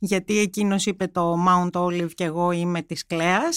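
This is a woman speaking in a German accent. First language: German (speaking Greek). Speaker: journalist. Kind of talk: interview. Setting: studio.

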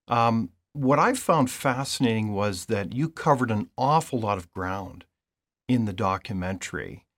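Speaking in a plain, everyday voice with a Canadian accent, a man talks at a moderate pace and medium pitch, with lively intonation on a very clean recording against a silent background. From Canada. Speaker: podcast host. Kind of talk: interview.

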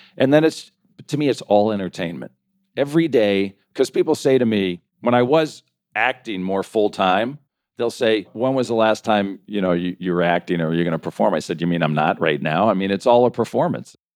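On a very clean recording with a silent background, a man with a fairly low pitch speaks at a fairly quick pace with lively intonation. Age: 60s. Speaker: financial advisor, actor and comedian. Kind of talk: interview conversation. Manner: animated.

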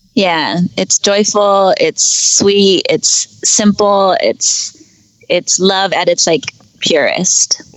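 With a Californian accent, a woman talks at a very slow pace. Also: very even loudness. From San Francisco Bay Area. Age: 30s. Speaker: podcast guest. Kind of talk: casual interview. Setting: Skype call while driving. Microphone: Skype call.

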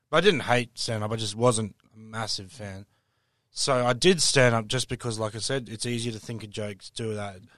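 Fairly quick Australian-accented speech from a man at a medium pitch, fairly even in intonation, with big swings in loudness and a quiet background. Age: 30s. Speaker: stand-up comedian. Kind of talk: casual interview.

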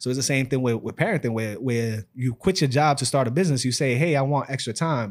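A man's medium-pitched voice in a New York accent, very fast with hardly any pauses, ordinary pitch variation and a very clean recording with a silent background. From New York City, the Bronx. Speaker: fatherhood community founder, entrepreneur. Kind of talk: casual chat.

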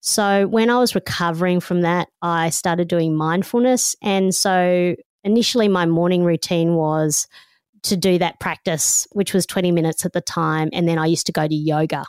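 An animated woman with an Australian accent and a fairly low pitch speaks at a moderate pace and very even loudness, the sound dry and close with no echo in a very clean recording over a silent background. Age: 50s. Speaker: radio host and author. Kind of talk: interview conversation. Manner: animated, laughs often.

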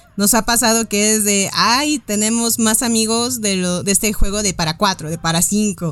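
A woman with a Mexican accent speaks at a moderate pace. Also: medium pitch for a woman, ordinary pitch variation. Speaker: board game company staff. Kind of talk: casual chat.

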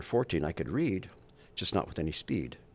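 A man with vocal fry talks at a fairly quick pace in a very clean recording with a silent background. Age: 70s. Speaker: designer and artist. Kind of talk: casual interview.

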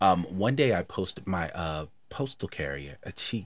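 On a very clean recording with a silent background, a man with an American accent speaks in a normal speaking voice with lively intonation. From Baltimore, Maryland. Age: 50s. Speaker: podcast host, guest. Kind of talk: casual chat.

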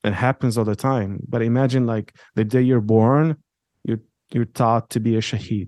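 Over a quiet background, a man with a dark, mellow tone and medium pitch talks at a moderate pace, using fairly even intonation and long, frequent pauses. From Israel, Jaffa. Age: 20s. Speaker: convert to Judaism. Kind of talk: interview.

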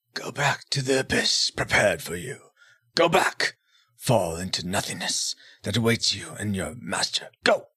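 A man puts on a raspy character voice at a medium pitch. He speaks at a moderate pace. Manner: commanding, stern.

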